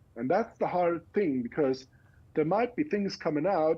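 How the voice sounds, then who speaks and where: Fairly high-pitched man with a German accent, fairly slow and marked by very wide pitch swings. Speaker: education researcher. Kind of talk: interview. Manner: halting.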